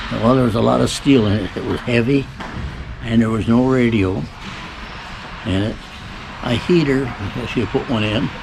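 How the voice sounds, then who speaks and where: Long pauses come often as a man talks, with noticeable background noise and audible room echo around him. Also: medium pitch for a man, ordinary pitch variation, moderate pace. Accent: Michigan. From Michigan, US. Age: 80s+. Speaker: great-grandfather being interviewed. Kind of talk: casual family interview.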